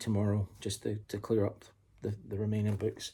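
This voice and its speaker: This man has a fairly low pitch and a dark, mellow tone that is somewhat breathy. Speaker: book reviewer. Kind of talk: casual talk to camera. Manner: breathless.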